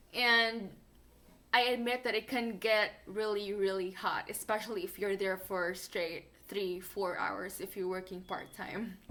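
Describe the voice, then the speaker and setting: Speaking at a fairly slow pace with a non-native accent, a woman has a bright, sharp tone, a medium pitch and fairly even intonation. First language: not English. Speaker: fast food worker and vlogger. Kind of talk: casual vlog advice.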